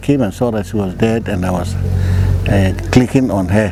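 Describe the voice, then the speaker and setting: Over noticeable background noise, a man with a fairly low pitch talks at a moderate pace with ordinary pitch variation. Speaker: retired broadcaster. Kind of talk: life story interview. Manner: halting, many fillers.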